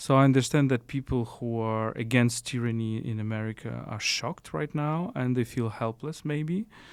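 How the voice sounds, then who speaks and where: With a Ukrainian accent, a man talks at a moderate pace. His pitch varies in an ordinary way. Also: medium pitch for a man, hardly any pauses. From Ukraine. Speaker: philosopher. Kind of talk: interview conversation. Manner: halting, with restarts.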